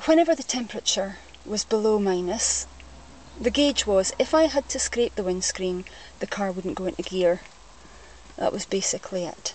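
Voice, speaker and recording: Against noticeable background noise, a woman with a Scottish accent speaks at a moderate pace and medium pitch with lively intonation. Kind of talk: casual talk to camera.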